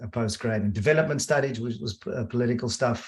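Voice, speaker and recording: The man's voice is somewhat breathy. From South Africa, Cape Town. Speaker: design leader. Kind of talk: webinar conversation.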